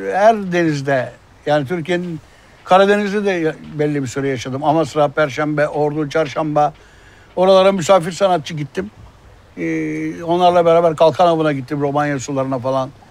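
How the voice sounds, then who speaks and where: Noticeable background noise runs under a man speaking at a moderate pace. His pitch is fairly high, with ordinary variation. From Turkey, Izmir. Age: 60s. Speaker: former fisherman, marine conservationist. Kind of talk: interview testimony.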